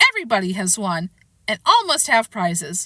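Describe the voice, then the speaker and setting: A woman's put-on character voice at a fairly quick pace. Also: medium pitch for a woman. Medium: read story. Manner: grave, solemn.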